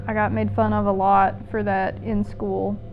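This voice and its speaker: Music plays in the background as a woman speaks with an Appalachian accent in a room with audible echo. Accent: Appalachian US Southern. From eastern Kentucky mountains. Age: 20s. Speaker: documentary subject, aspiring filmmaker. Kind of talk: documentary interview.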